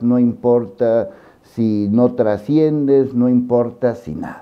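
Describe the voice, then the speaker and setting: Talking at a very slow pace, a man has a medium pitch and ordinary pitch variation. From Mexico. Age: 60s. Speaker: journalist and news commentator. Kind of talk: personal monologue to camera. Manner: emotional, earnest.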